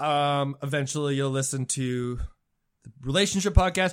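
A man's unremarkable speaking voice at a moderate pace, with fairly even intonation, on a very clean recording with a silent background. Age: 30s. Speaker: podcast guest, military veteran. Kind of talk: casual chat.

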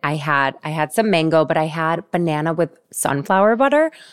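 In a very clean recording with a silent background and a dry, close sound with no echo, a woman with an unremarkable speaking voice speaks at a moderate pace, her fairly low pitch showing ordinary variation. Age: 40s. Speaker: podcast host and fitness instructor. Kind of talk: casual interview chat.

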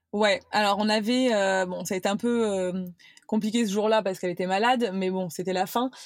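A woman with an unremarkable speaking voice talks at medium pitch and a fairly quick pace. Her intonation is fairly even, and the recording is very clean, with a silent background. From France, Cannes (Provence). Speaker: content creator. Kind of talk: casual chat.

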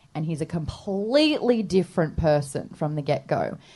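Against a quiet background, a woman with an Australian accent speaks in a very deep, low pitch with ordinary pitch variation. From Australia, Sydney. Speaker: radio presenter and podcaster. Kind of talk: live comedy podcast interview. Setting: stage with live audience.

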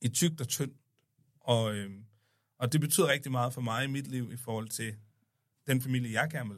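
On a very clean recording with a silent background, a medium-pitched man speaks at a moderate pace with ordinary pitch variation, big swings in loudness, and long, frequent pauses. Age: 30s. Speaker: podcast guest, son of host. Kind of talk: casual chat.

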